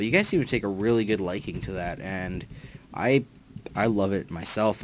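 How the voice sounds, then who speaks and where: The voice keeps a moderate pace and a fairly even intonation. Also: man. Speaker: gaming youtuber. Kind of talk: let's play commentary. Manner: halting, many fillers and restarts.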